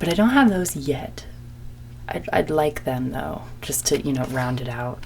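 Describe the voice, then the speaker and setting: A quiet woman in a calm tone at a fairly slow pace, with audible room echo and noticeable background noise. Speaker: ASMR video maker. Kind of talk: ASMR show-and-tell. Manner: trying to speak calm and quiet; naturally energetic, excitable.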